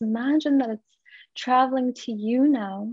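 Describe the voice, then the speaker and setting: Fairly even in intonation, a woman talks in a normal speaking voice. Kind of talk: guided meditation. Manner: soft, slow, soothing, hypnotic cadence.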